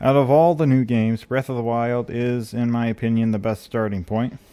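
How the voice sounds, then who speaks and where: With a dark, mellow tone, a man talks at a moderate pace and medium pitch. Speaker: gaming youtuber. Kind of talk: video essay. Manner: hesitant, many fillers.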